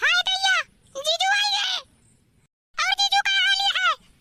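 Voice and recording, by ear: A woman's squeaky, cartoonish character voice at an extremely high pitch, with very even loudness and a dry, close sound with no echo. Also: moderate pace.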